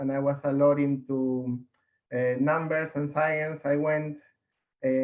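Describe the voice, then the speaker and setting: A man speaks in a fairly high voice at a fairly slow pace. His intonation is flat and monotone. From Peru. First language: Spanish. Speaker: engineer and brewery co-founder. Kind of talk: personal story talk.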